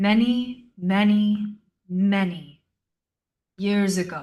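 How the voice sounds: Using a put-on character voice, a female-sounding speaker rumbles along at a very slow pace and a medium pitch.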